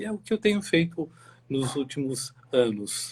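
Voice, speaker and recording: A man speaks at a fairly slow pace with ordinary pitch variation. His fairly high voice is somewhat breathy. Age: 60s. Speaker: forensic medical expert. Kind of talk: interview. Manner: halting, many fillers.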